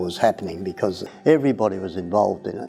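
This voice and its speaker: Over background music, a man with an Australian accent talks very fast in a fairly low voice. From Australia, Melbourne area. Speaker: volunteer. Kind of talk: personal reminiscence. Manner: halting, many fillers.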